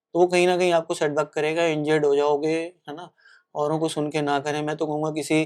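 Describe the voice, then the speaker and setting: Against a quiet background, a man with a fairly high pitch speaks at a moderate pace in a monotone, flat way. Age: 40s. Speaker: marathon runner and coach. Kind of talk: podcast interview.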